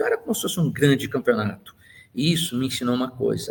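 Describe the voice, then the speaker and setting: A somewhat breathy man speaks at a very fast pace. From Brazil, Santos (São Paulo coast). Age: 60s. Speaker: engineer and university professor. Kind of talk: life-story interview monologue.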